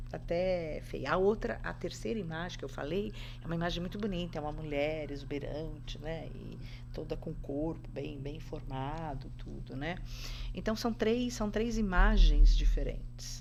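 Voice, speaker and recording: The room echo is audible. The pace is moderate. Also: woman. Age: 60s. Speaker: podcast guest, spiritual practitioner. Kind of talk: casual interview chat.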